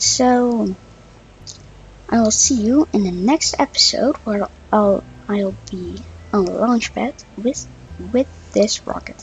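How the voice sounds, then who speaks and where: Noticeable background noise runs behind a woman speaking at a fairly slow pace. She talks with a Dutch accent. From Netherlands. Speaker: gaming YouTuber. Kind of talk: gameplay commentary. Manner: halting, many fillers.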